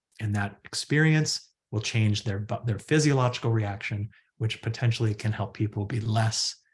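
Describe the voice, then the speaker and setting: A man speaks at a medium pitch with ordinary pitch variation and a somewhat breathy quality. The background is quiet. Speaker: psychologist and research center director. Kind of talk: webinar presentation. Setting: online webinar. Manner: fast.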